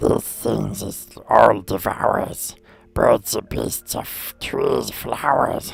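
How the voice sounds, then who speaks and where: Over music in the background, a put-on character voice drags at a very slow pace, sounding raspy and strained. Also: man, very deep, low pitch for a man. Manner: riddling.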